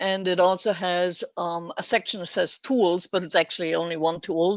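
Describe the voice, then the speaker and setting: A woman with a non-native accent talks at a fairly slow pace in a medium pitch. The sound is dry and close with no echo, over a quiet background. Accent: noticeable foreign. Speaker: developer advocate. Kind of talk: live webinar chat. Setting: live stream webinar.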